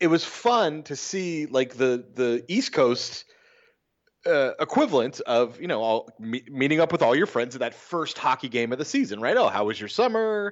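An animated man with an American accent speaks at a moderate pace, fairly high in pitch, making very wide pitch swings. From California. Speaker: hockey fan and podcast correspondent. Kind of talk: casual chat.

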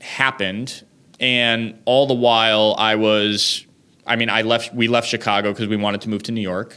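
With an American accent, a man speaks at a moderate pace in a bright, sharp tone and fairly low pitch, on a very clean recording with a silent background. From central Massachusetts. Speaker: chef and restaurateur. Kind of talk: interview. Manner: halting, many fillers.

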